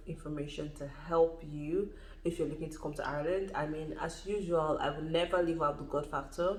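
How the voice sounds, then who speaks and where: A woman's fairly low voice at a fairly quick pace, with fairly even intonation, audible room echo and noticeable background noise. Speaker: YouTuber. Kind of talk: vlog advice talk. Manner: fast.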